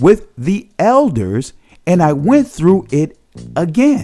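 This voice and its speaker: A high-pitched male voice at a very slow pace, swinging very widely in pitch, with music in the background. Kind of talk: documentary narration.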